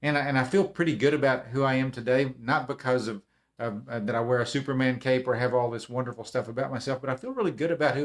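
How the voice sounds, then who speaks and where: A man speaks with a Texan accent. His pace is very fast. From Texas. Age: 60s. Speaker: motivational speaker. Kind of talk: casual livestream talk. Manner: halting.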